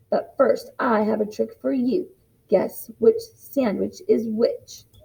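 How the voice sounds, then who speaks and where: A woman puts on a raspy, gruff character voice and speaks at a fairly slow pace. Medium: read story. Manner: grumpy, gruff.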